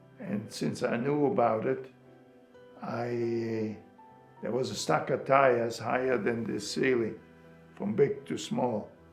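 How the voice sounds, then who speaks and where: A man of medium pitch at a very slow pace with long, frequent pauses, ordinary pitch variation and music in the background. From Germany. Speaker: Holocaust survivor. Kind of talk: interview answer.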